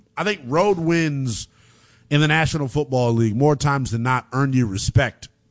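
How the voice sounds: Lively intonation at a moderate pace. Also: man.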